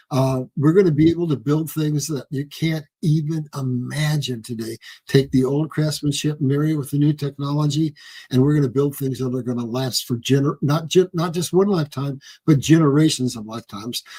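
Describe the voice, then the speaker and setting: A somewhat breathy man's voice, dark and mellow in tone, fairly high in pitch, at a fairly quick pace with fairly even intonation, in a dry, close sound with no echo. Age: 70s. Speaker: guest presenter on religious and economic topics. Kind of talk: slide presentation in an interview.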